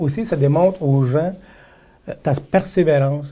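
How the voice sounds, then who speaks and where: The voice has a dark, mellow tone, a somewhat breathy quality, and ordinary pitch variation. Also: man. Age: 50s. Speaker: political candidate. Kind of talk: interview.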